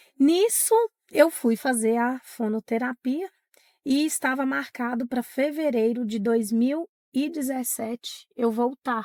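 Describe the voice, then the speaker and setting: Speaking very slowly, a woman has a high, breathy voice with ordinary pitch variation. The sound is dry and close, with no echo. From Minas Gerais, Brazil (Diamantina). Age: 40s. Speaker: teacher. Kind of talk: interview testimony.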